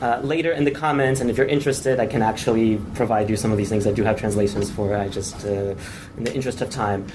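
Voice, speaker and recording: Noticeable background noise and audible room echo behind very fast speech with ordinary pitch variation. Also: man, medium pitch for a man. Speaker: conference presenter, researcher. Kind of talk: conference presentation. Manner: hesitant, many fillers.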